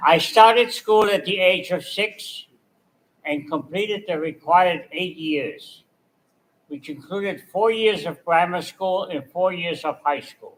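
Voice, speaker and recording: A man talks at a fairly slow pace with a high pitch and ordinary pitch variation. His loudness swings widely. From Austria, Vienna. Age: 80s+. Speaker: Holocaust survivor speaker. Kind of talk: testimony. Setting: synagogue event with audience.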